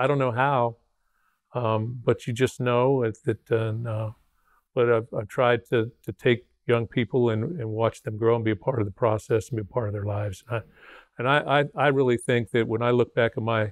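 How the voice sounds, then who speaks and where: Here a man talks at a moderate pace. His pitch is medium and his intonation fairly even. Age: 60s. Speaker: retired college football head coach. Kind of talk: interview conversation. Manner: halting, repeats words.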